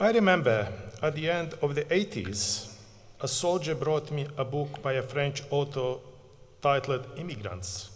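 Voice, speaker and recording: With vocal fry and a Bosnian accent, a man speaks at a fairly high pitch with lively intonation amid audible room echo. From Bosnia and Herzegovina. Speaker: community project manager, refugee advocate. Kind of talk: acceptance speech. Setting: stage at graduation ceremony.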